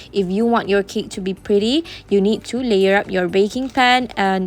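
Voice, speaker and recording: A woman with a Malaysian accent and ordinary pitch variation. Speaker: home baker, cooking vlogger. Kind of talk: cooking tutorial. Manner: casual, hesitant with fillers.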